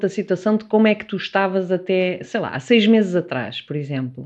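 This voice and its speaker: Against a quiet background, a woman speaks in a normal speaking voice at a fairly low pitch and a moderate pace with lively intonation. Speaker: psychotherapist. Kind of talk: casual chat.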